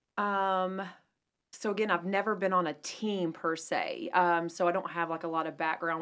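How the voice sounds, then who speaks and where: In a very clean recording with a silent background, a woman with an American accent speaks at a moderate pace in a fairly low pitch. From North Carolina, Asheville. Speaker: real estate agent. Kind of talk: radio interview.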